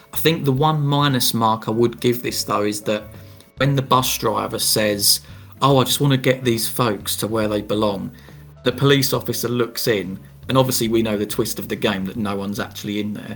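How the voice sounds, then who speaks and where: A man with ordinary pitch variation, music in the background. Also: medium pitch for a man, moderate pace. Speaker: podcast host. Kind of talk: casual podcast discussion.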